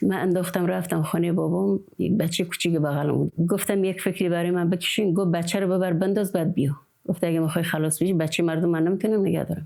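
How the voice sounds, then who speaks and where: A woman speaks at a very fast pace with hardly any pauses, her dark, mellow tone set at a fairly low pitch. Her loudness stays very even and her intonation fairly even. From rural Khorasan, Iran. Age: 60s. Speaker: village woman, dotar player. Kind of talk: interview testimony.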